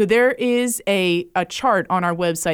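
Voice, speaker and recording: In a very clean recording with a silent background, a woman with a plain, everyday voice speaks at a medium pitch with ordinary pitch variation. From Jacksonville, Florida. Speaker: education nonprofit director. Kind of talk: radio interview.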